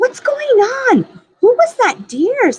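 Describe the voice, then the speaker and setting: An extremely high, squeaky, female-sounding put-on character voice with very wide pitch swings. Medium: read story.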